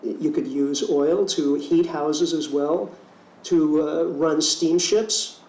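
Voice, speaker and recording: A man speaks amid noticeable background noise. Audible room echo fills the recording. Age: 50s. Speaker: keynote speaker and ecology teacher. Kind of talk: keynote speech.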